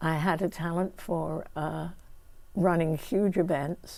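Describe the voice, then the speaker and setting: On a very clean recording with a silent background, a woman with a British accent speaks in a fairly low voice with fairly even intonation. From England. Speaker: community volunteer leader. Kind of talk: oral history interview. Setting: studio. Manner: halting.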